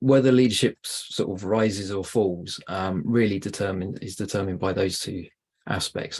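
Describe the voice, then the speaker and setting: A man speaks at a moderate pace with ordinary pitch variation. He has a British accent. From UK. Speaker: podcast guest host. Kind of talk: interview. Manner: hesitant with fillers.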